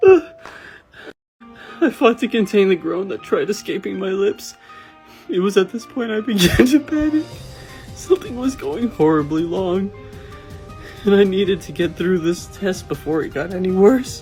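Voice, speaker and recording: A man speaks at a fairly slow pace in a high-pitched voice. His pitch swings very widely, and music plays in the background. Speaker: voiceover artist. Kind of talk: comedic review reading. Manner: breaking into laughter.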